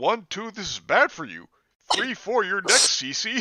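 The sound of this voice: Using a put-on character voice, a man speaks high and fairly slowly, his bright, sharp tone rising and falling in big pitch swings.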